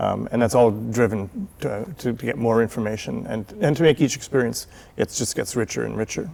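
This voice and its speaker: A medium-pitched man with a Canadian accent speaks at a moderate pace in a dark, mellow tone with vocal fry and ordinary pitch variation. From Canada. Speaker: volunteer city tour guide. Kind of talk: TV interview.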